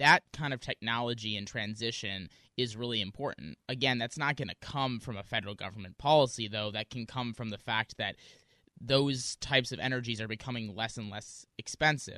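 Against a quiet background, a man with an American accent speaks at a fairly quick pace in a bright, sharp tone, with a dry, close sound and no echo. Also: medium pitch for a man, ordinary pitch variation. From US Midwest, Wisconsin. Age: 20s. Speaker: student activist. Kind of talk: radio interview.

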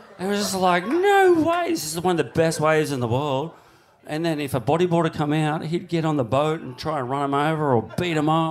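Over noticeable background noise, a man with an Australian accent speaks at a fairly quick pace in a fairly high pitch with ordinary pitch variation. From Australia, Cronulla. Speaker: big wave surfer. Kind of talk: live show storytelling. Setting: stage with audience.

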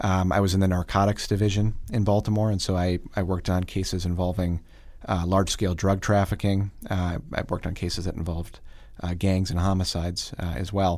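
A man with an American accent talks at a very fast pace. His very deep, low voice stays monotone and flat. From Wisconsin (Oshkosh, Fond du Lac). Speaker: political candidate, attorney. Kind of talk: interview.

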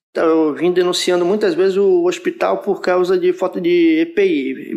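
A man talks at a moderate pace. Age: 30s. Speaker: nurse. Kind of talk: interview.

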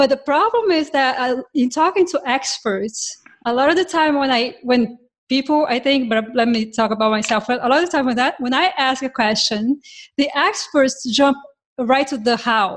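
A woman with a non-native accent speaks at a moderate pace in a high pitch, her intonation showing ordinary pitch variation. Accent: foreign-accented English. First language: not English. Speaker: software developer, podcast co-host. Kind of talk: casual tech panel chat.

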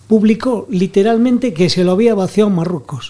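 This man's delivery is fairly brisk. The rise and fall of his pitch is typical. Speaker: newspaper deputy editor. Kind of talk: panel discussion.

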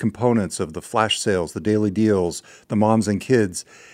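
A man with a Californian accent at a fairly low pitch and fairly quick pace, with ordinary pitch variation, on a very clean recording with a silent background. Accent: California English. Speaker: podcast host. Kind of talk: casual conversation. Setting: studio.

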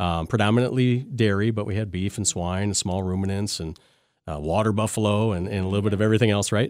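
Speaking very fast in an Upper Midwest accent, a man uses a fairly low pitch and fairly even intonation on a very clean recording with a silent background. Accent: Upper Midwest American. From Wisconsin, Lancaster (southwest). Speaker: veterinarian. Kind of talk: interview. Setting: studio. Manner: halting, many fillers.

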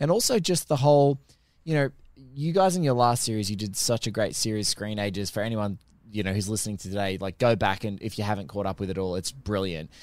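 A man with an Australian accent talks very fast at a fairly low pitch with lively intonation. The recording is very clean, with a silent background. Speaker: film podcaster. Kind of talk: casual chat. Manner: animated.

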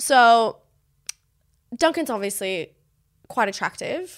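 A woman with a high pitch uses an animated tone and lively intonation. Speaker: reality TV contestant. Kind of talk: casual chat.

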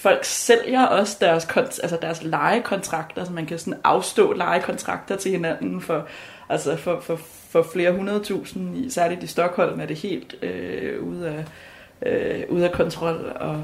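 A woman speaks at a fairly slow pace with big swings in loudness. Noticeable background noise is present. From Denmark. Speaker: law student. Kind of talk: casual chat. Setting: kitchen at home. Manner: halting.

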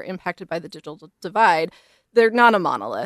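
In a plain, everyday voice, a woman at a medium pitch talks at a fairly quick pace with lively intonation, in a very clean recording with a silent background and a dry, close sound with no echo. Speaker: librarian. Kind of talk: radio interview.

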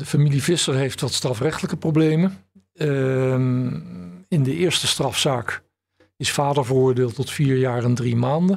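At a fairly slow pace, a man talks in an ordinary speaking voice at medium pitch with ordinary pitch variation. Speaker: bankruptcy lawyer and trustee. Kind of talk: interview.

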